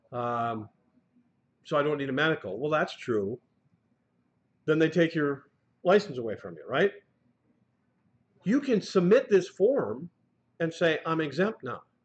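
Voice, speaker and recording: Fairly slow and broken by long, frequent pauses, a man's fairly high voice shows vocal fry, very wide pitch swings and big swings in loudness. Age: 60s. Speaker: truck driving instructor. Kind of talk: lecture. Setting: classroom, streamed live. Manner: animated.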